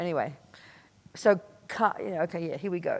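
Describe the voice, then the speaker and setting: Speaking at a fairly quick pace, a woman sounds animated in an Australian accent. Her pitch sits fairly low. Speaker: Buddhist nun and teacher. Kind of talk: dharma talk at a retreat. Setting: meditation retreat with audience.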